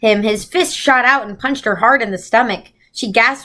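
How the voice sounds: A natural reading voice shows ordinary pitch variation, with a quiet background behind it.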